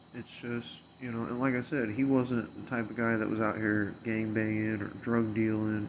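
A man speaks in a monotone, flat way with hardly any pauses, and audible room echo surrounds his voice. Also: medium pitch for a man, moderate pace. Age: 30s. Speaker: podcast host. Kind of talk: casual monologue.

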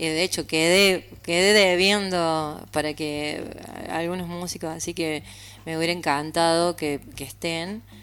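The recording is very clean, with a silent background. A woman speaks at a fairly slow pace in a fairly low pitch with monotone, flat intonation. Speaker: singer-songwriter. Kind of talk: interview.

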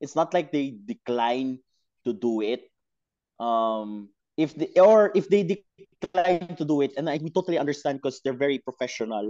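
Recorded dry and close with no echo, a man speaks at a moderate pace in a dark, mellow tone. His pitch is fairly high, and his intonation is lively. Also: quiet background. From Philippines, Davao City. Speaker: football supporter. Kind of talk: casual chat. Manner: animated.

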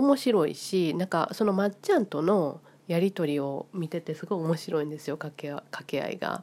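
In a very clean recording with a silent background, a woman speaks with a Kansai accent. Her pitch is fairly low, her pitch variation ordinary and her pace moderate. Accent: Kansai Japanese. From Japan, Osaka (Kansai). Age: 50s. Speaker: vlogger. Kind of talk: casual monologue.

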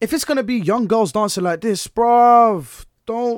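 Speaking with a Bedfordshire accent, a man is heard on a very clean recording with a silent background. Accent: southern English, Luton. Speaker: podcast host. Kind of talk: casual chat, banter. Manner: animated, joking, fast talker.

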